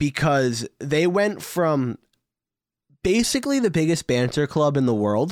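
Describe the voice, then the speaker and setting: A man with an American accent, fairly high pitch, lively intonation, very even loudness and a fairly slow pace, in a very clean recording against a silent background. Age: 20s. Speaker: football podcast co-host. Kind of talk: casual chat. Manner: animated.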